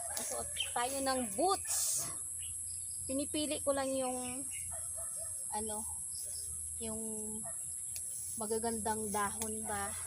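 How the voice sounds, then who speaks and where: A woman talks at a very slow pace. Her speech has long, frequent pauses. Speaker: vlogger. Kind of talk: casual vlog narration. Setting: outdoors. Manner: soft-spoken. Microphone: no microphone, camera mic.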